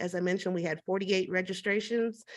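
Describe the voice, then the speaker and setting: Over a quiet background, a woman with a normal speaking voice talks at a fairly quick pace with fairly even intonation. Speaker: business consultant and networking event host. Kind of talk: online networking event facilitation.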